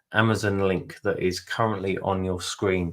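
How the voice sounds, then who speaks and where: A man talks with a British accent. His intonation stays fairly even. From UK. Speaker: webinar host and interviewer. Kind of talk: webinar hosting. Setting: online webinar. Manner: hesitant, many fillers.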